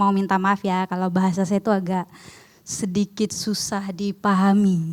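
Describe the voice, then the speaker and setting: A woman at a medium pitch speaks in a monotone, flat way. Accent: non-native. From outside Indonesia. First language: not Indonesian (speaking Indonesian). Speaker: seminar speaker, theology student. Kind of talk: seminar presentation.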